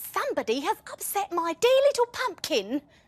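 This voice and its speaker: A put-on character voice at an extremely high pitch swings very widely in pitch at a moderate pace. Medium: read story. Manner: aggrieved, declaring.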